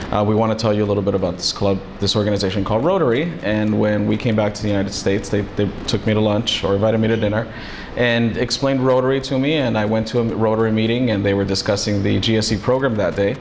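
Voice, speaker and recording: Talking very fast with hardly any pauses, a man with a Spanish accent keeps a fairly low pitch and fairly even intonation amid audible room echo and noticeable background noise. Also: very even loudness. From US, Los Angeles, California. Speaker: immigration paralegal. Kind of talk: interview. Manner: halting, with many fillers.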